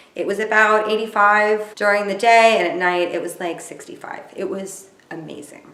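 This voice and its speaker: Speaking in a Californian accent, a woman keeps a moderate pace and a medium pitch with ordinary pitch variation. Her loudness swings widely, and there is noticeable background noise. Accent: mild California. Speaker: vlogger. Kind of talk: casual vlog recap.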